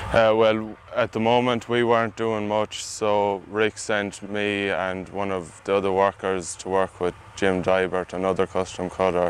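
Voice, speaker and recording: Speaking with an Irish accent, a man talks at a fairly slow pace in a fairly low pitch with monotone, flat intonation. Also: hardly any pauses. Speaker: agricultural student intern, combine driver. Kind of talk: interview answers.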